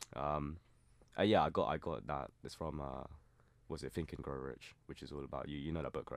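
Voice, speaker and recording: The speaker talks fairly quickly with a southern English accent, fairly even intonation and vocal fry. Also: man, very deep, low pitch for a man. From southern England (Surrey). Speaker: university student. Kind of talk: casual chat. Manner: halting.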